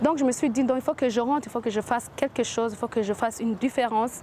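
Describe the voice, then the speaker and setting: A woman with an English accent speaks fairly quickly in a fairly high voice, her pitch varying in an ordinary way. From US, Washington. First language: English (speaking French). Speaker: entrepreneur. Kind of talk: interview. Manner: halting, many hesitations.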